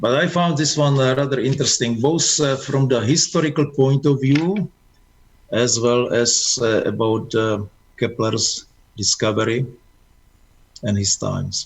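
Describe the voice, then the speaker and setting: A man speaks at a fairly slow pace in a somewhat breathy voice, with long, frequent pauses. His loudness stays very even, and his pitch varies in an ordinary way. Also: medium pitch for a man. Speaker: amateur astronomy speaker. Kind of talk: Q&A after presentation. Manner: halting.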